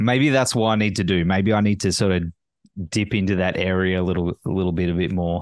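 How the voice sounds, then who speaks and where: At a fairly quick pace, a man with an Australian accent and a very deep, low pitch speaks with fairly even intonation and very even loudness against a quiet background. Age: 40s. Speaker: podcast host. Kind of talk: casual interview chat.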